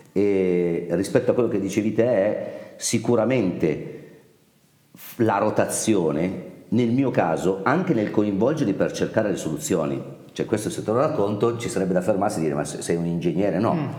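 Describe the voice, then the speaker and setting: Over audible room echo, a man with a fairly low pitch talks with lively intonation. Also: moderate pace. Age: 50s. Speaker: company founder. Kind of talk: interview.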